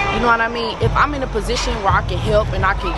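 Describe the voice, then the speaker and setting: A woman's voice, dry with no echo, over loud music in the background. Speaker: interviewee. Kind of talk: interview answer. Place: street.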